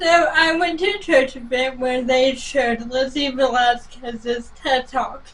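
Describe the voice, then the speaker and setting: Over noticeable background noise, a woman with an American accent speaks in a high pitch at a fairly slow pace, with hardly any pauses and ordinary pitch variation. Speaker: motivational speaker. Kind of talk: interview. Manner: short answers.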